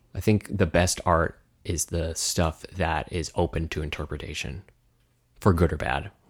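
On a very clean recording with a silent background, a man with an American accent speaks in a very deep, low, somewhat breathy voice with fairly even intonation. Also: moderate pace. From United States. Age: 30s. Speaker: musician and podcast co-host. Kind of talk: casual chat.

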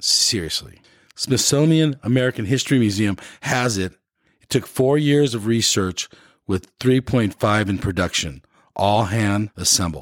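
A man with a plain, everyday voice speaks at a fairly slow pace, his fairly low pitch carried in lively intonation, in a very clean recording with a silent background. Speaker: podcast host. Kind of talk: casual interview.

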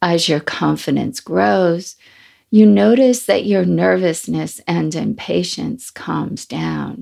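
Very slowly, a woman speaks over a quiet background. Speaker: meditation teacher. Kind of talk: guided meditation. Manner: calm, gentle, unhurried; soft, slow, soothing.

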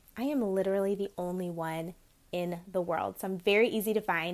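An ordinary speaking voice with an American accent, at a moderate pace with ordinary pitch variation, in a very clean recording with a silent background. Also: woman. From US Midwest and South. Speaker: podcast host and brand strategist. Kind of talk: podcast interview. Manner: upbeat.

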